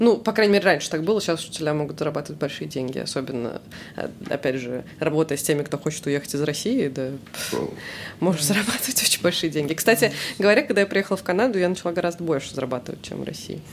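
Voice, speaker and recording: A woman speaks in a very deep, low voice with lively intonation at a very fast pace. Noticeable background noise runs underneath. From Russia, Samara. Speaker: English teacher. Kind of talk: casual chat.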